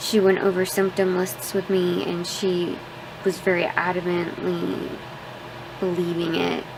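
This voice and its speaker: A soft-spoken woman's fairly low voice, monotone and flat, at a fairly slow pace, over noticeable background noise. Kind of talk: casual vlog talk to camera.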